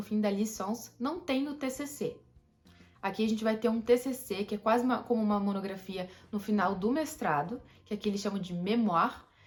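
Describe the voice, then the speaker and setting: Music plays behind a woman who speaks at a fairly quick pace in a fairly high voice. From Brazil. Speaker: YouTuber. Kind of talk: informational vlog. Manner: fast; casual.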